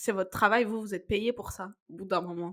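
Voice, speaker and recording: A woman with a medium pitch and a bright, sharp tone speaks at a fairly quick pace in a monotone, flat intonation. The recording is very clean, with a silent background. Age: 20s. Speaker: book podcast co-host. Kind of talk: casual chat.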